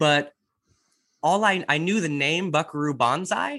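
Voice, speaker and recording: In an American accent, a man speaks at a fairly slow pace with a bright, sharp tone on a very clean recording with a silent background. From Indiana, Indianapolis. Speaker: podcast guest, film fan. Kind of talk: casual chat.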